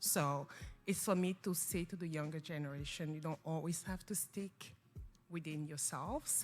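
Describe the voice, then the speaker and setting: A woman speaks in a French accent with fairly even intonation. Music plays in the background. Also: moderate pace. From Cameroon. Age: young. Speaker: non-profit founder. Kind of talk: talk show interview.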